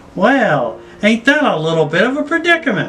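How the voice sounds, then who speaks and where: Clear music plays behind a man doing a squeaky, put-on character voice at a high pitch. He moves at a moderate pace with very wide pitch swings. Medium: read story. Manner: carefree, sweetly calm.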